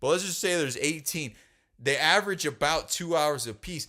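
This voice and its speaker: A man speaks at a moderate pace with a bright, sharp tone in a very clean recording with a silent background. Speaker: podcast host and rock drummer. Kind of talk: heated casual debate.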